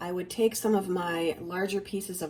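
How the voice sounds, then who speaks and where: A woman's fairly low voice with fairly even intonation, over music in the background. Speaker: plant hobbyist vlogger. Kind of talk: tutorial. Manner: casual, conversational. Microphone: voice muffled through mask.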